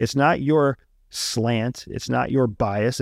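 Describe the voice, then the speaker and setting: Lively intonation and a Pennsylvania accent come through at a fairly slow pace. The recording is very clean, with a silent background and a dry, close sound with no echo. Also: man. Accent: American, Pennsylvania. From rural Pennsylvania. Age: 40s. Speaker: former CIA intelligence officer. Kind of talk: casual interview conversation. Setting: studio.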